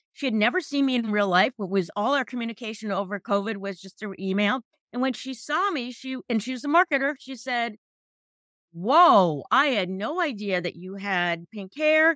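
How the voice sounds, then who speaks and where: With an unremarkable speaking voice, a woman talks at a moderate pace, her fairly high pitch carrying lively intonation. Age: 50s. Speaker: accountant and entrepreneur. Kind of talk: interview.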